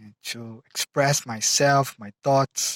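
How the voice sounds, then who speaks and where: A man in a Brazilian Portuguese accent, at a fairly high pitch and very slow pace, with a dry, close sound and no echo. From Brazil, São Paulo state. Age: 20s. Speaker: mechanical engineer, English learner. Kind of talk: self-introduction video. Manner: halting, with frequent fillers.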